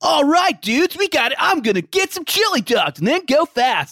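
A man uses a put-on character voice. His pitch is extremely high, and his pace is moderate. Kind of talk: casual slangy. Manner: 90s cartoon character vibe.

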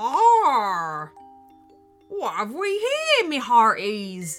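A put-on character voice with a fairly high pitch speaks at a very slow pace over faint music in the background.

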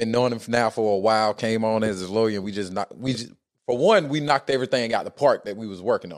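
With an American accent, a man talks at a very fast pace in a medium pitch, using ordinary pitch variation and big swings in loudness. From US South, Atlanta. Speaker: lawyer and podcast co-host. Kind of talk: casual chat.

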